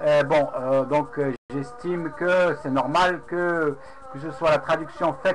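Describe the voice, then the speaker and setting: Noticeable background noise sits behind a man speaking at a fairly slow pace. His pitch is fairly high and varies an ordinary amount. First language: Arabic (speaking French). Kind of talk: casual webcam monologue recounting a debate. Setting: webcam recording. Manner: halting, many hesitations.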